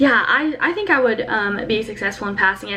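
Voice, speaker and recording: Noticeable background noise sits behind a woman's voice. She has a fairly high pitch and a fairly quick pace. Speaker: college program applicant. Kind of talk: interview answer. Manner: fast.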